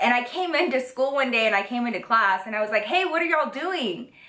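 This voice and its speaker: Over noticeable background noise and audible room echo, a woman talks at a very fast pace with lively intonation. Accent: American. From Texas. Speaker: YouTuber. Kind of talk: story time vlog. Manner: animated, casual.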